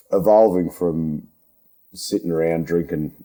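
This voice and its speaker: His voice is a very deep, low pitch with a dark, mellow tone, belonging to a man. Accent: strong Australian. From Australia. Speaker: podcast host, underground miner. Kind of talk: casual interview chat. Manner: halting, repeats words.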